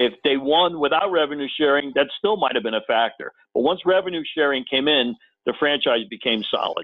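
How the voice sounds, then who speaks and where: With an American accent, a man talks at a very fast pace in a fairly high pitch with ordinary pitch variation. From US Northeast (Connecticut). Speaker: former sports TV producer, NFL historian. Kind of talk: casual interview. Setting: phone call.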